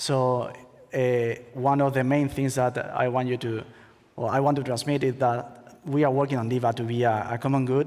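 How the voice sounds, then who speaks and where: Someone with a Spanish accent speaks at a moderate pace in a monotone, flat intonation. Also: man, medium pitch for a man. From Spain. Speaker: crypto startup co-founder, former attorney. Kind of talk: conference talk. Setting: stage with audience. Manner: halting.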